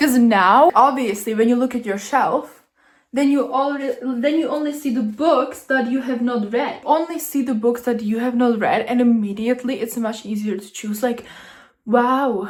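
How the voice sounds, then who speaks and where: A woman's high-pitched voice with a non-native accent. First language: not English. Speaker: booktuber. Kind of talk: casual vlog narration. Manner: animated.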